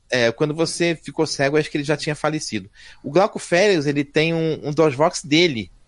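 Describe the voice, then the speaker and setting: At a fairly quick pace, a man speaks in an animated tone at a fairly high pitch, his pitch varying in an ordinary way. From Brazil, Rio de Janeiro. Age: 50s. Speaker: software developer. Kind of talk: casual chat.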